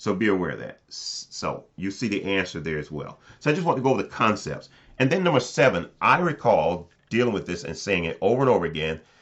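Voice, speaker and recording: A man speaks loudly and very fast, his pitch fairly low. His pitch swings very widely. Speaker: chemistry professor. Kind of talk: lecture. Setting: recorded video, looking down at notes.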